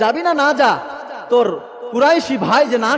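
This man's voice sits at an extremely high pitch, with lively intonation. Noticeable background noise runs behind him. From Bangladesh, Naogaon. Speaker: Islamic preacher. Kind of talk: sermon. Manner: emotional storytelling.

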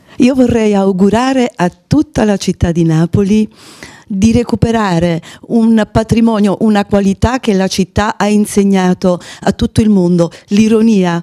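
A woman speaks at a fairly slow pace in a dark, mellow tone against a quiet background. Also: ordinary pitch variation. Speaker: guest. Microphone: handheld.

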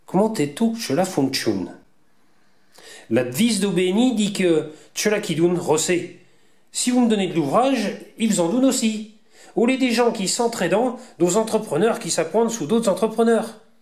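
Using long, frequent pauses, a man with a Vendée accent talks at a high pitch with lively intonation. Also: moderate pace. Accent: Vendée patois. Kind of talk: promotional presentation narration.

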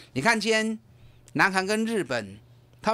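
On a very clean recording with a silent background, the talking proceeds at a moderate speed. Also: man. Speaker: investment advisor. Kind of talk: radio market commentary. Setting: radio studio. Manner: animated, emphatic.

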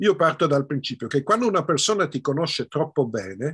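A man's fairly high voice with very wide pitch swings against a quiet background. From Belgium, Brussels (Italian family). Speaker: film director and screenwriter; interviewee. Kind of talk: interview. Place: home room. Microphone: video call.

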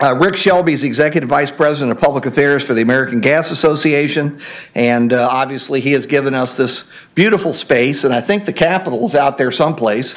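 Background sounds are quiet. A man's speech races along very fast. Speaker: conference host. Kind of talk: opening remarks. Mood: genial, lightly joking. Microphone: podium.

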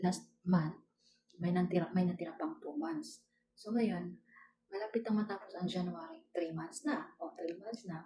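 The speaker has a normal speaking voice and keeps a moderate pace. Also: woman. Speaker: domestic worker vlogger. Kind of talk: casual vlog narration. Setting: at employer's house.

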